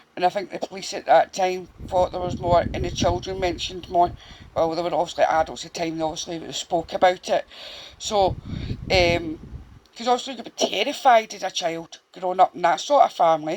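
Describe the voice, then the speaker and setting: The speaker has a Glaswegian accent. The pace is fairly quick. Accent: Glaswegian Scottish. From Scotland, Glasgow (Castlemilk). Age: 40s. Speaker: true crime YouTuber. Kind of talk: casual storytelling monologue to camera. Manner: halting, many fillers.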